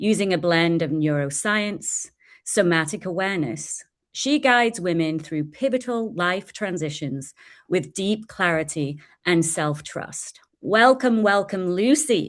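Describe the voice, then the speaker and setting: Against a quiet background, a woman with an English accent speaks at a fairly low pitch with lively intonation. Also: fairly slow pace. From England. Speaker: podcast host. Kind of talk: interview.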